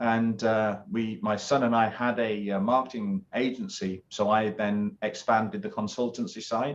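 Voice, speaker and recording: Ordinary pitch variation in a British accent, against a quiet background. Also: man. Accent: British accent, noticeable. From UK. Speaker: business consultant and former naval officer. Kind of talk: interview. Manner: many filler words and hesitations.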